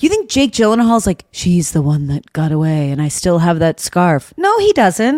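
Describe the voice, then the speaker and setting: In a dry, close recording with no echo, a woman talks at a moderate pace in an unremarkable speaking voice with lively intonation. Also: fairly low pitch for a woman. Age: 30s. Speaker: podcast co-host. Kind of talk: casual chat.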